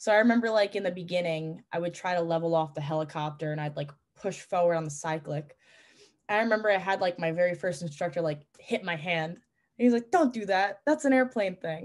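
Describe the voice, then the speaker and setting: A woman with a New York accent, fairly low in pitch and fairly quick in pace, over a quiet background. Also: ordinary pitch variation. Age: 20s. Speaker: pilot and flight instructor. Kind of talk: casual chat.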